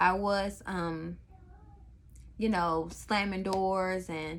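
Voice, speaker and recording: A woman speaks over noticeable background noise. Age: 30s. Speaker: thrift haul vlogger, mother. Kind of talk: casual vlog monologue.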